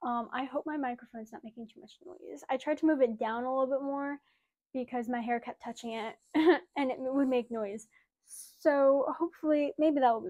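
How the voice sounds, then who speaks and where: A woman speaks at a high pitch and a fairly quick pace, with a dark, mellow tone and ordinary pitch variation. Her loudness swings widely over a quiet background. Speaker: horse rider vlogger. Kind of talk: casual vlog chat. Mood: cheerful, excited. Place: home room. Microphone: lapel.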